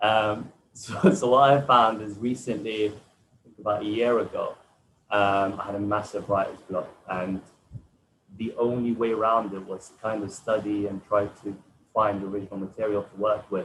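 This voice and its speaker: A man speaks with an Arabic accent at a fairly low pitch. His intonation stays fairly even. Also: moderate pace. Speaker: poet. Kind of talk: panel discussion.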